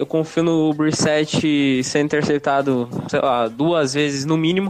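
A man talks fairly slowly in a fairly high register while noticeable noise runs underneath. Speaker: NFL fan podcaster. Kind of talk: casual chat.

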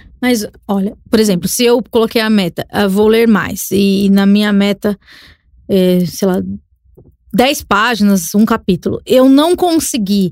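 The speaker goes at a fairly slow pace with long, frequent pauses, very even loudness and ordinary pitch variation. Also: woman, medium pitch for a woman. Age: 30s. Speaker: podcaster and communicator. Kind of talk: casual chat. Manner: halting, repeats words.

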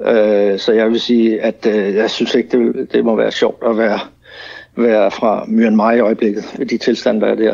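Monotone and flat, a man's medium-pitched voice holds a moderate pace at very even loudness. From Denmark. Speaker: businessman. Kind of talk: radio interview. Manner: halting.

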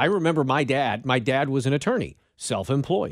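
An unremarkable speaking voice, a man's at medium pitch, moves at a fairly quick pace with ordinary pitch variation in a very clean recording with a silent background. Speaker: radio co-host. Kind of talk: casual talk radio chat.

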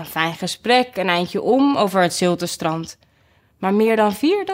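Someone does plain reading aloud. Their intonation moves in a lively way.

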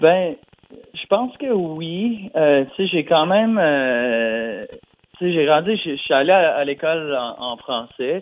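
This man's voice is pitched fairly high with lively intonation. He speaks at a very slow pace. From New Brunswick, Canada (Acadian). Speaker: singer-songwriter. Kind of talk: interview. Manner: halting, many fillers and repetitions.

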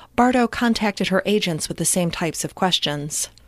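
Ordinary pitch variation and a moderate pace mark this ordinary speaking voice. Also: woman. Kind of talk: true-crime narration. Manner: measured, solemn, scripted delivery.

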